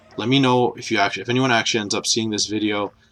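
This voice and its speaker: Over music in the background, a man speaks at a fairly low pitch with fairly even intonation. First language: not English. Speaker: gaming YouTuber. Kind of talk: casual commentary video. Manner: off the cuff, hesitant with fillers.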